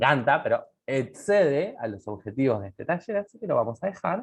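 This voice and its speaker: A man speaks in a Uruguayan accent at a moderate pace. His pitch swings very widely. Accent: Uruguayan Spanish (Rioplatense). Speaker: medical lecturer. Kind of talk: lecture. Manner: casual, animated.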